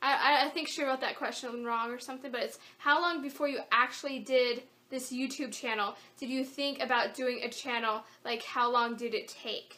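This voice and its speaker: A woman's raised, projected voice at a high pitch, fairly even in intonation, moderate in pace, with noticeable background noise. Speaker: craft YouTuber. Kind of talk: Q&A vlog. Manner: casual, hesitant with fillers.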